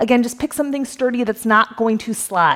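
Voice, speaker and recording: Against noticeable background noise, a woman speaks in a fairly high pitch with ordinary pitch variation. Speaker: fitness instructor. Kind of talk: workout instruction. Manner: casual, encouraging.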